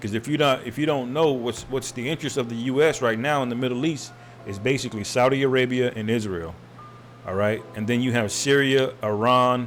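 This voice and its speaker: Over noticeable background noise, a man with an American accent talks fairly quickly in an animated tone at a medium pitch. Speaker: religious commentator. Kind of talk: religious commentary monologue. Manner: fast.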